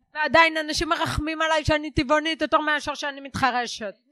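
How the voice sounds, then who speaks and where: A woman speaks in a raised, projected voice. Her pitch is high and her tone bright and sharp. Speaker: stand-up comedian and lecturer. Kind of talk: casual chat. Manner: hard of hearing since early childhood.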